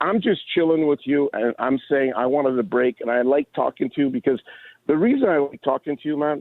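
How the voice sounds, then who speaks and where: A man's fairly high voice at a fairly quick pace. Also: ordinary pitch variation. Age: 60s. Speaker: caller. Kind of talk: casual chat. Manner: halting.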